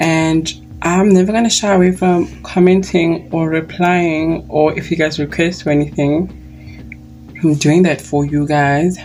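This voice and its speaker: Noticeable background noise sits behind a woman speaking in a fairly low pitch with fairly even intonation. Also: fairly slow pace. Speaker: beauty YouTuber. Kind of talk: makeup review tutorial. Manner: loud; chatty.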